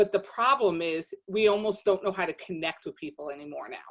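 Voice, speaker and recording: A woman with a New Jersey accent speaks at a medium pitch. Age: 50s. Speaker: podcast guest, social media page founder. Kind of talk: casual chat.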